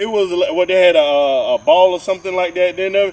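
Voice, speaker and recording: A man with a Georgia accent, a high pitch and a fairly quick pace. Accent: southern US (Georgia) rural. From rural Georgia. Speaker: podcast co-host. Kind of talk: casual chat.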